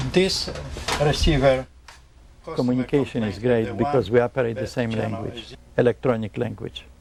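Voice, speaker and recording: This man speaks with a Polish accent. Vocal fry runs through his voice. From Poland. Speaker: electronics repairman. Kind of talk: interview.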